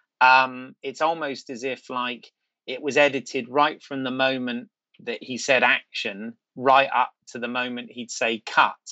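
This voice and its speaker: A man speaks at a fairly slow pace with a British accent. His intonation is monotone and flat, and his loudness swings widely. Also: medium pitch for a man. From Britain. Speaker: actor. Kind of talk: casual chat. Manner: halting.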